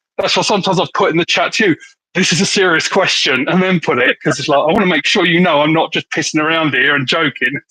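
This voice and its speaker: In an English accent, a bright, sharp voice speaks very fast, dry and close with no echo. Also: man, high pitch for a man, ordinary pitch variation. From England, Hertfordshire. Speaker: slingshot youtuber. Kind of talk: casual chat.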